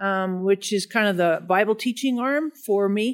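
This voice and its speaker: This woman has an ordinary speaking voice at a medium pitch. She talks in an American accent. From Denver, Colorado, US. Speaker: pastor and Bible teacher. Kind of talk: casual interview chat.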